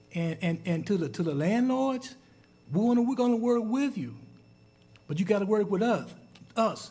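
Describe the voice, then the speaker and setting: A man speaks at a moderate pace with lively intonation, and audible room echo surrounds his voice. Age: 60s. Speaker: city council member. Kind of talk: council meeting speech. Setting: city council chamber. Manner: halting, repeats words.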